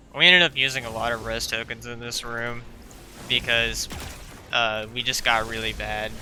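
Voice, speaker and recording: Over noticeable background noise, a man with a medium-pitched voice speaks at a moderate pace. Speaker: video game content creator. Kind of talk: gameplay voice-over commentary. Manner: casual, hesitant, many filler words.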